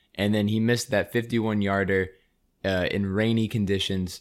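A man with an ordinary speaking voice and a fairly low pitch talks at a fairly quick pace. The recording is very clean, with a silent background. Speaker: sports podcast host. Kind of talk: casual chat.

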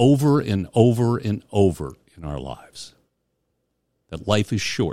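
A man speaks at a fairly slow pace and a fairly low pitch, with very wide pitch swings and big swings in loudness. The recording is very clean with a silent background, and the sound is dry and close with no echo. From US Northeast. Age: 60s. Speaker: podcast host. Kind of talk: casual chat.

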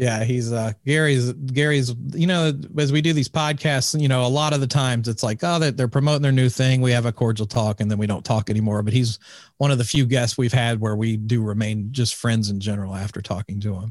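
An unremarkable speaking voice from a man at medium pitch, with ordinary pitch variation and a fairly quick pace, on a very clean recording with a silent background. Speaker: podcaster and event organizer. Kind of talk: casual chat.

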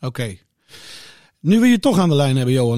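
A man speaks with a dark, mellow tone. The recording is very clean and the background silent. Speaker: podcast presenter. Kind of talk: casual chat.

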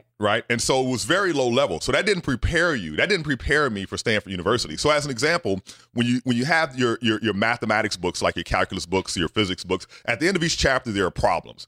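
A man's very fast, animated speech with hardly any pauses, very wide pitch swings and a bright, sharp tone, on a very clean recording with a silent background and a dry, close sound with no echo. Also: medium pitch for a man. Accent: Southern US. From US South. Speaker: scientist. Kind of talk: casual interview.

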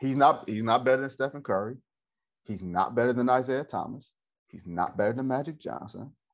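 A man with an American accent, medium pitch and ordinary pitch variation, an ordinary speaking voice at a fairly quick pace, with big swings in loudness against a quiet background. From US Midwest, Detroit. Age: 30s. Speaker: sports journalist. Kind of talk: casual interview chat.

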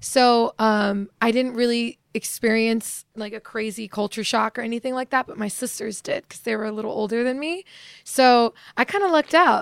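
In a normal speaking voice with an American accent, a woman talks at a moderate pace and a fairly high pitch with ordinary pitch variation and big swings in loudness, on a very clean, dry, close recording with no echo and a silent background. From Virginia. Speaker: singer. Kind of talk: interview. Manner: casual, giggly.

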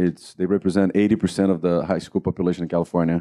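Against a quiet background, a man speaks in a very deep, low pitch with a dark, mellow tone and monotone, flat intonation, the sound dry and close with no echo. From Brazil. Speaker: TV executive producer. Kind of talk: live panel discussion.

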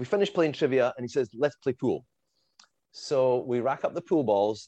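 A man's dark, mellow voice in a Scottish accent, medium in pitch with lively intonation, in a dry, close recording free of echo. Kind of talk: casual chat. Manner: animated, halting.

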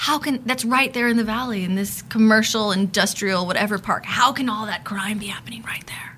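A woman with a Californian accent speaks at a fairly quick pace with hardly any pauses, her pitch fairly high. Her intonation stays fairly even over noticeable background noise. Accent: Californian American. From Los Angeles. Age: 30s. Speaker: sociologist. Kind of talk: casual interview.

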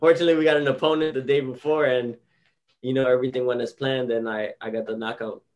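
A man with a Miami accent, medium pitch, fairly even intonation and a very fast pace. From South Florida, Hialeah Gardens. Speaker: professional boxer. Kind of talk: interview. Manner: casual.

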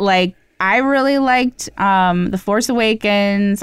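The recording is very clean, with a silent background. A woman speaks with ordinary pitch variation. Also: dry, close sound with no echo. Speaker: podcast co-host. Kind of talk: casual chat. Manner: says like a lot.

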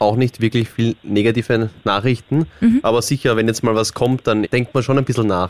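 Speaking in an Austrian accent at a moderate pace, a man keeps a medium pitch, fairly even intonation and very even loudness, with hardly any pauses and a dry, close sound with no echo. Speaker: reality TV contestant. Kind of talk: casual chat. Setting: studio.

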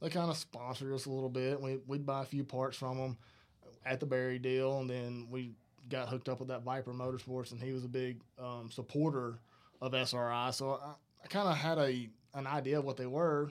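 This man speaks in a Southern US accent at a fairly quick pace. His medium-pitched voice stays monotone and flat in intonation. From northern Alabama. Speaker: racing crew chief. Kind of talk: casual interview. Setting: studio.

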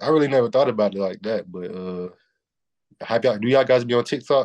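A man with a Southern US accent, medium pitch, ordinary pitch variation and a very fast pace, over a quiet background. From US Southeast. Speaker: college basketball player. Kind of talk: interview.

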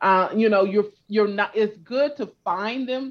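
A woman's ordinary speaking voice with lively intonation over a quiet background. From California. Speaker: genealogy expert. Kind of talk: interview.

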